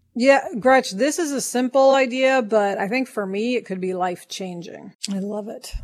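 A woman speaks at a fairly slow pace in a normal speaking voice, with ordinary pitch variation. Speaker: podcast co-host, writer and producer. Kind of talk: casual co-hosted podcast chat.

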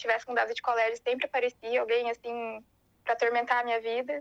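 A woman's voice at a high pitch. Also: dry, close sound with no echo. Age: 20s. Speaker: interviewee sharing mental health experience. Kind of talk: personal testimony.

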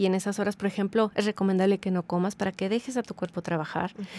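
A woman speaks at medium pitch and a fairly quick pace, her intonation monotone and flat. The recording is very clean, with a silent background. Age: 40s. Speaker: habits coach. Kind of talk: casual interview.

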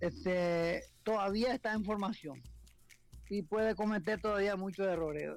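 Over music in the background, a man speaks at a high pitch with ordinary pitch variation. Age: 60s. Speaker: football commentator. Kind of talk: radio phone interview. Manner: halting.

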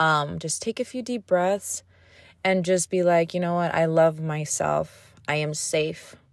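Speaking at a fairly slow pace with ordinary pitch variation, a woman uses a normal speaking voice. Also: fairly low pitch for a woman, very clean recording, silent background. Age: 30s. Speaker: podcast host. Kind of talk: casual solo monologue. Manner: casual, rambling with many fillers.

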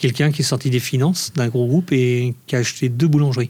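A man of medium pitch speaks at a moderate pace, somewhat breathy, with ordinary pitch variation. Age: 50s. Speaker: ice cream maker and business owner. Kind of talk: interview.

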